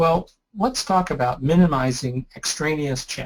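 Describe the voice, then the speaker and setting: Somewhat breathy, a man's voice moves at a fairly slow pace. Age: 60s. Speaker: ham radio presenter. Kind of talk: webinar presentation. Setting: online webinar. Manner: casual, conversational.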